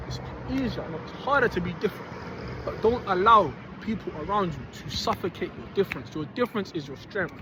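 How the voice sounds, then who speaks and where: Loud and very fast, a man speaks over noticeable background noise. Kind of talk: motivational monologue. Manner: animated.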